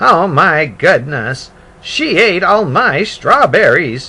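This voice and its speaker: Using a put-on character voice, a man speaks at a high pitch and a very slow pace in a raised, projected voice. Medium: read story. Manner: fretful, exclaims "oh my goodness".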